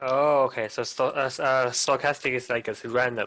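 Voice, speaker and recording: A man with a Chinese accent speaks at a moderate pace against a quiet background. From China. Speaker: web developer, student. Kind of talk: tutoring questions; casual chat. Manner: halting.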